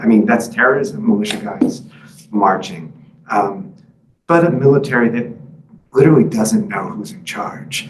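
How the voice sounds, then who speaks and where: Audible room echo surrounds a voice with vocal fry, very wide pitch swings, and big swings in loudness at a moderate pace. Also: man. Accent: American. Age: 50s. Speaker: author and journalist. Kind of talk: book talk with Q&A. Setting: library talk with live and Zoom audience. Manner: halting, many fillers.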